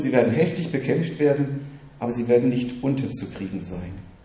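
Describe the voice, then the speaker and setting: Speaking at a fairly quick pace, a man with a normal speaking voice keeps a medium pitch and ordinary pitch variation. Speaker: preacher. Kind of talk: sermon, teaching-style preaching to a congregation. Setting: church. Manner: earnest, fairly quick, warm and encouraging.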